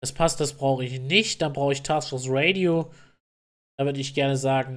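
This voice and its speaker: A man talks in a fairly high pitch, keeping his intonation fairly even. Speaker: gaming YouTuber. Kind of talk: tutorial. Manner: fast.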